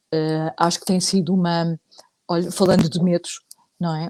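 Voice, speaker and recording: Dark and mellow in tone, a voice in a European Portuguese accent holds a monotone, flat intonation in a dry, close sound with no echo. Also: woman. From Portugal. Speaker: psychologist, psychotherapist. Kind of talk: casual chat, online live talk. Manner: hesitant, many fillers.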